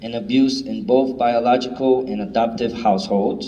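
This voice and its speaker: In a room with audible echo and noticeable background noise, a man speaks at a medium pitch. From New York City (Bronx), Puerto Rican family. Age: 30s. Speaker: motivational speaker. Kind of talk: testimony.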